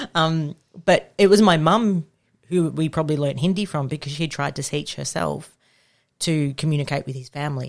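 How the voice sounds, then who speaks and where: Speaking with an Australian accent, a woman has a very deep, low pitch, ordinary pitch variation and a moderate pace. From Victoria, Australia. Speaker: children's commissioner and lawyer. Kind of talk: casual chat. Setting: studio.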